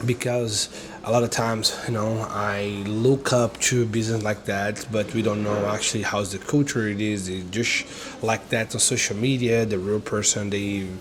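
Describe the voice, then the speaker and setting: Over noticeable background noise, a man with a Brazilian accent speaks at a moderate pace and fairly low pitch in a monotone, flat intonation. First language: Portuguese. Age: 30s. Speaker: online entrepreneur and vlogger. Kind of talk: casual vlog monologue. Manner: halting, many fillers.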